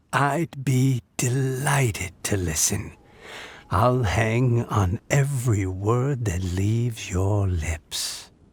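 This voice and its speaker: Speaking very slowly, a man puts on a character voice at medium pitch. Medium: video game. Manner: gentle, warm.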